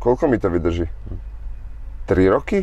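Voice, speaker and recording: A man with lively intonation at a fairly slow pace. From Slovakia. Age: 30s. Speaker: boxer. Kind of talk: casual chat.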